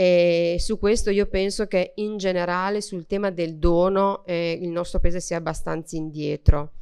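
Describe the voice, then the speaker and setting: A woman speaks at a fairly slow pace with hardly any pauses, in a fairly low pitch with a dark, mellow tone. Her intonation is fairly even over a quiet background. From Emilia-Romagna, Reggio Emilia; Emilia-Romagna. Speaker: member of parliament. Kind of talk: panel speech. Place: hall. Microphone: podium.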